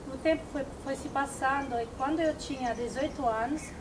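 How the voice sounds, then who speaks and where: Against noticeable background noise, a woman talks at a moderate pace with fairly even intonation. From Italy. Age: 20s. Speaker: novice nun. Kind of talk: testimony. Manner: halting.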